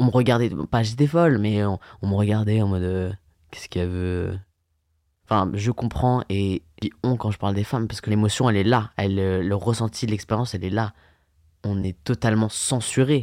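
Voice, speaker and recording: The voice moves at a moderate pace with ordinary pitch variation. The sound is dry and close with no echo, on a very clean recording with a silent background. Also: man, fairly low pitch for a man. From France, Yvelines (Paris region). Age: 20s. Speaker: events and bar worker. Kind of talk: personal testimony. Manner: halting, with fillers.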